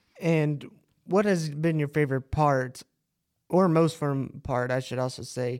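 This man has a plain, everyday voice. His pitch is fairly high and his intonation fairly even. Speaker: student podcast host. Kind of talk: interview.

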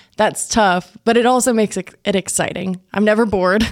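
A woman's plain, everyday voice, fairly high in pitch and fairly quick, with an American accent, in a very clean recording with a silent background. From West Texas (Plains, near Lubbock). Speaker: TV news reporter and anchor. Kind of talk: casual chat. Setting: studio.

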